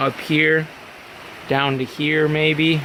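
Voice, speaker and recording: A man with fairly high pitch at a very slow pace, amid noticeable background noise. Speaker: car hobbyist vlogger. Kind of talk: casual workshop vlog. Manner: hesitant with many fillers; loud, yelling over rain.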